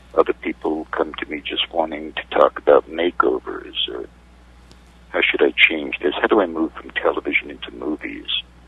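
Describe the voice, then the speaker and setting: There is noticeable background noise. A man with an American accent speaks at a moderate pace. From New York City. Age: 60s. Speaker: media consultant. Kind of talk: interview. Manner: halting.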